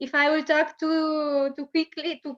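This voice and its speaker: Her pace very slow, a woman speaks with a Romanian accent. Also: dry, close sound with no echo. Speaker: children's rights NGO education coordinator. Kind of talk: lecture. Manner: halting.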